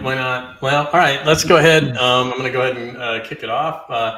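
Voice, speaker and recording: With hardly any pauses, a man speaks at a moderate pace and medium pitch in fairly even intonation, with audible room echo. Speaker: live stream host. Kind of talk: interview. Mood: friendly, relaxed. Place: home room. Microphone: earbuds.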